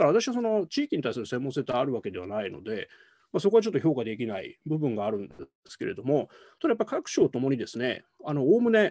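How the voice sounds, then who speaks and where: This man has a dark, mellow tone and very wide pitch swings. He talks at a very fast pace against a quiet background. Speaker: political science professor. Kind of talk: academic panel commentary. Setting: video call. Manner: formal, polite. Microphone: video call.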